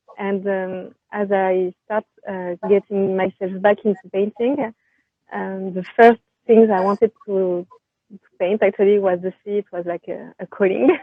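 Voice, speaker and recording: Talking at a fairly slow pace, a woman with a French accent holds a medium pitch and fairly even intonation but shows big swings in loudness. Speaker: painter. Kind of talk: interview. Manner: hesitant, many fillers.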